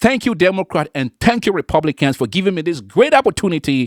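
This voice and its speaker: A non-native accent on a very clean recording with a silent background. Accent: non-native English, foreign. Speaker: political commentary vlogger. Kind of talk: opinion monologue to camera. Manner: emphatic, repetitive.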